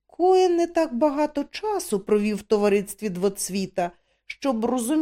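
An easy reading voice with lively intonation comes through over a hushed background.

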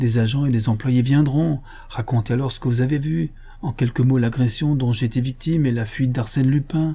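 Natural-voiced reading aloud

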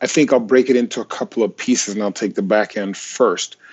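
In an American accent, a man with a normal speaking voice talks at a moderate pace and medium pitch with lively intonation. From Nigeria, then Minnesota. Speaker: physician and health informatics executive. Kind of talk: interview.

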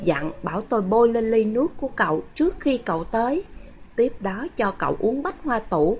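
Here is an unforced reading voice with lively intonation.

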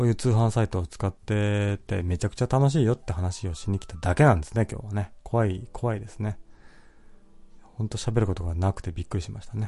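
Over music in the background, a man speaks in a relaxed tone at a fairly quick pace, with ordinary pitch variation and big swings in loudness. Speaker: podcast host reading listener comments. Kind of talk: casual solo talk. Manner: frequent laughter, relaxed.

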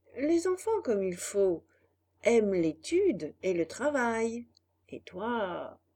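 The background stays quiet. This is reading aloud in a natural voice.

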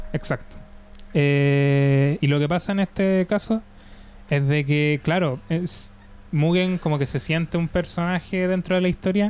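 Speaking at a fairly slow pace, a man talks with a Chilean accent. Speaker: podcast host. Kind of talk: casual chat.

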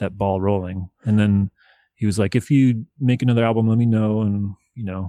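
A man's fairly low, dark, mellow voice with an American accent, at a moderate pace and fairly even intonation, in a dry, close sound with no echo on a very clean recording with a silent background. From US South, Nashville, Tennessee. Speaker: electronic hip hop musician. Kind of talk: interview.

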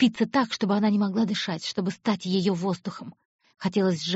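Reading aloud in a natural voice, with fairly even intonation against a quiet background

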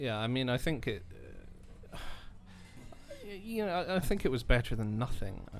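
With long, frequent pauses and very wide pitch swings, a man speaks in a space with audible room echo. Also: medium pitch for a man, moderate pace. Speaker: university student. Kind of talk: casual chat. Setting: coffee shop. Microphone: too far from the mic at first.

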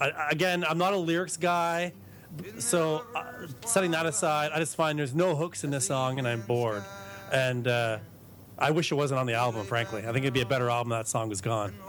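Using a normal speaking voice, a man speaks at a fairly quick pace with a fairly high pitch. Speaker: podcast co-host. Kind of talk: casual chat.

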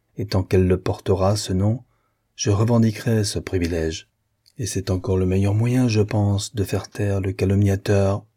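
An unforced reading voice with fairly even intonation comes over a quiet background.

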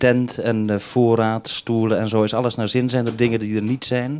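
A man speaks at a moderate pace in a medium pitch, his tone slightly mellow.

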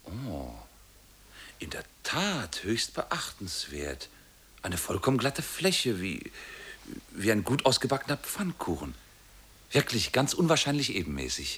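Putting on a character voice, a man speaks at a fairly slow pace with a fairly low pitch, a fairly bright tone, very wide pitch swings, and long, frequent pauses.

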